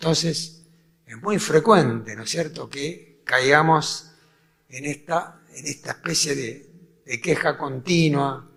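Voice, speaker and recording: A man's fairly high voice at a very slow pace, with ordinary pitch variation and big swings in loudness. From Argentina, Buenos Aires. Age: 80s+. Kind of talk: talk to a faith group.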